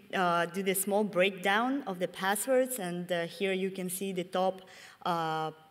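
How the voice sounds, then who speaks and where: A woman speaks at a medium pitch and a fairly slow pace. The recording is very clean, with a silent background. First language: Russian. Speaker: security researcher. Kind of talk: conference talk. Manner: halting, with many fillers.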